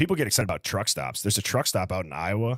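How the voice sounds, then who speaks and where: Here a man talks at a very fast pace with a Midwestern accent and fairly low pitch. The sound is dry and close with no echo, on a very clean recording with a silent background. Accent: Midwest. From Wisconsin, US Midwest. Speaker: live streamer, true crime commentator. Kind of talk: live stream chat, reading comments. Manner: casual, conversational.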